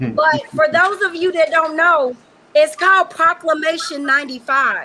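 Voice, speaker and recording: Over noticeable background noise, a woman uses a raised, projected voice at an extremely high pitch. Her pace is moderate, her loudness very even and her pitch variation ordinary. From Western Kentucky, rural. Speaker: educator, panelist. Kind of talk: panel discussion. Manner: animated.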